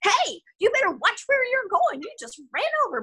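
A put-on character voice, extremely high in pitch, at a moderate pace. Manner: scolding, indignant.

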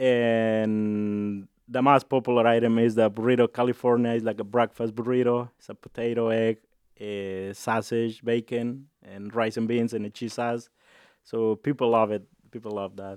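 A man speaks with a Mexican accent at a moderate pace, his intonation monotone and flat. His loudness swings widely, in a dry, close sound with no echo. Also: medium pitch for a man. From Jalisco, Mexico. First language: Spanish. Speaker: restaurant owner. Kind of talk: interview. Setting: studio.

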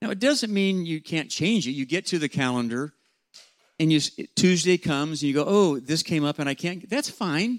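With a normal speaking voice, a man talks at a fairly quick pace and fairly high pitch with lively intonation, in a very clean recording with a silent background and a dry, close sound with no echo. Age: 60s. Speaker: pastor and leadership coach. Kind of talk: seminar talk to students.

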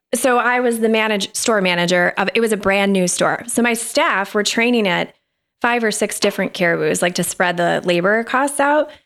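Delivered at a moderate pace, this is an unremarkable speaking voice with very even loudness and ordinary pitch variation, on a very clean recording with a silent background. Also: woman, fairly high pitch for a woman. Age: 40s. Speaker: guest, former store manager. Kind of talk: casual interview chat.

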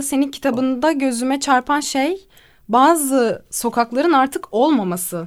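The recording is very clean, with a silent background. A woman speaks at a fairly slow pace with ordinary pitch variation. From Izmir, Turkey. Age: 20s. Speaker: radio host. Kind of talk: casual chat.

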